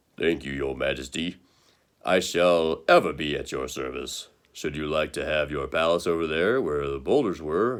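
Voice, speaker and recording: Putting on a character voice, a man drops to a very deep, low pitch. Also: moderate pace. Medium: read story.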